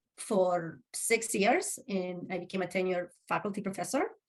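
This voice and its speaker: A woman with a Spanish accent speaks at a moderate pace in a medium pitch, her intonation fairly even. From Uruguay. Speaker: social work professor. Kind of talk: interview.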